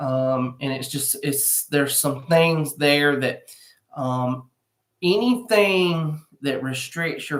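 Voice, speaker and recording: Someone speaks in a Southern US accent at a very slow pace. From US South. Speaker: realtor. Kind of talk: live stream real estate update. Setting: furniture store, live stream. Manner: casual, filler-heavy. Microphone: laptop mic instead of usual microphone.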